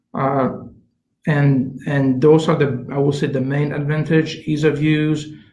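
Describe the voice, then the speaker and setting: A man talks at a moderate pace in a somewhat breathy, fairly high voice. His intonation stays monotone and flat. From Canada. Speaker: chief science officer, scientist. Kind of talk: interview answer.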